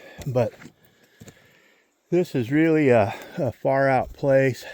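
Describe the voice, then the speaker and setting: A man speaks at a medium pitch with ordinary pitch variation and a dark, mellow tone. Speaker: outdoorsman vlogger. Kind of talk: casual walking vlog. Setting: outdoors in forest. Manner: casual, relaxed.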